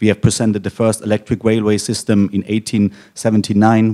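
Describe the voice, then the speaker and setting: In a German accent, a man speaks at a fairly low pitch with a dark, mellow tone and monotone, flat intonation. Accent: German accent, noticeable. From Germany. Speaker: technology company executive. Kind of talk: conference panel moderation. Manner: hesitant, many fillers.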